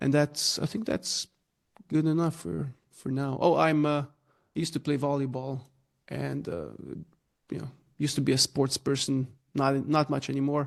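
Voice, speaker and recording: With a Slovenian accent, a man speaks at a moderate pace and fairly high pitch, using ordinary pitch variation and long, frequent pauses. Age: 30s. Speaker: growth consultant. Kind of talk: podcast interview. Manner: halting, many fillers.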